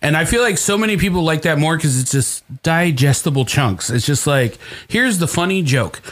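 A man's fairly high, lively voice at a fairly quick pace, over noticeable background noise. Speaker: podcast host. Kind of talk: casual comedy podcast banter. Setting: studio.

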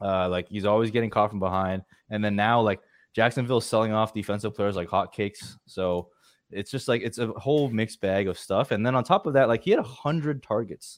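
A man with an ordinary speaking voice, fairly low pitch and ordinary pitch variation, talking at a fairly quick pace over a quiet background. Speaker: fantasy football writer. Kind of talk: casual chat.

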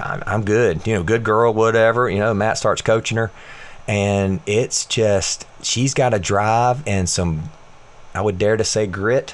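A man with an American accent speaks in a normal speaking voice, fairly low in pitch, with ordinary pitch variation. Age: 40s. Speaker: fitness coach. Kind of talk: casual chat.

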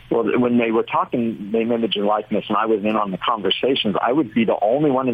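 Speech comes at a very fast pace in an American accent. The pitch moves with ordinary variation. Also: man. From Orange County, California. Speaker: college sports enforcement official. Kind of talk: radio interview.

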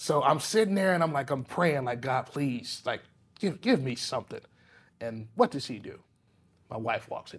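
A man with a fairly high pitch and a somewhat breathy voice speaks at a moderate pace with lively intonation and big swings in loudness. Long, frequent pauses stand out in a very clean recording with a silent background. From US South, Palatka, Florida. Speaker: private chef. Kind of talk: casual interview. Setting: studio. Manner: halting, many fillers and restarts.

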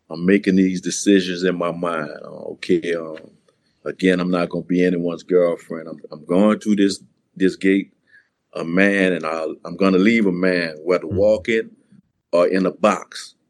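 In a strong Louisiana accent, a man with a very deep, low voice speaks at a moderate pace in a monotone, flat way, his loudness swinging widely. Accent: thick Louisiana. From New Orleans, Louisiana. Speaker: author and former prisoner. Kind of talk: interview testimony.

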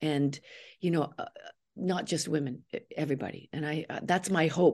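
With a Canadian accent, a woman speaks at a fairly quick pace in a dark, mellow tone against a quiet background. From Canada. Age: 60s. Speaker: actress. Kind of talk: interview.

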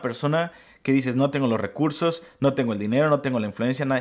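Lively intonation marks an unremarkable speaking voice moving at a fairly quick pace. The recording is very clean, with a silent background. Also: man. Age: 30s. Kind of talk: devotional teaching.

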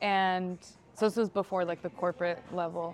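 In an American accent, a woman speaks at a moderate pace. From California, Sacramento. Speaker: content creator. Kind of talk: casual chat.

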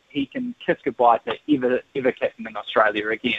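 A man speaks with a New Zealand accent. His pace is moderate and his pitch swings very widely. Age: 30s. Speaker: sports journalist. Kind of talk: radio interview.

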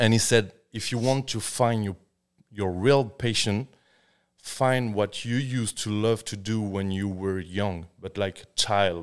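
At a fairly slow pace, a man with a French accent and a fairly low pitch speaks in a very clean recording with a silent background. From France. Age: 30s. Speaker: tattoo artist. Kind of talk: casual chat. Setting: studio.

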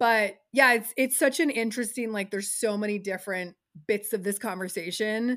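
A woman's fairly high, fairly quick voice, an unremarkable speaking voice with ordinary pitch variation, on a very clean recording with a silent background. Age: 40s. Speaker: talent manager. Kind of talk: casual chat.

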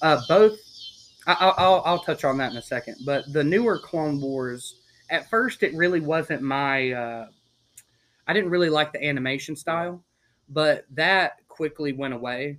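A man with a normal speaking voice talks at a fairly slow pace, fairly high in pitch and with ordinary pitch variation. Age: 20s. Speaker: podcast guest, Star Wars fan. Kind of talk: casual chat. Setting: outdoors.

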